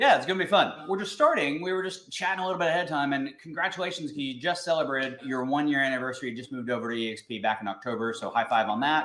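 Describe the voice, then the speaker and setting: A man with a slight North Texas accent races along at a very fast pace with hardly any pauses, his fairly high pitch moving in lively intonation over noticeable background noise. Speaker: podcast host and realtor. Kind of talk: interview.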